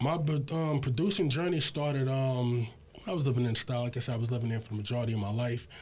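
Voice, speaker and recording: Somewhat breathy, a man talks at a very fast pace with ordinary pitch variation. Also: medium pitch for a man. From Brooklyn, New York (Bed-Stuy, Fort Greene). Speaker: hip hop producer. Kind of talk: casual interview.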